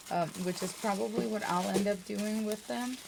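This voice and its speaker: A woman speaks at a moderate pace in a medium pitch, with noticeable background noise behind her. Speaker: beauty and lifestyle vlogger. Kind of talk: casual unboxing video. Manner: animated.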